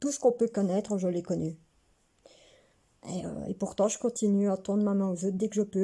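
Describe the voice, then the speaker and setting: A woman talks at a moderate pace in a medium-pitched voice with a dark, mellow tone and fairly even intonation. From Belgium, Hainaut near Mons. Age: 30s. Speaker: vlogger. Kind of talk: casual personal vlog monologue.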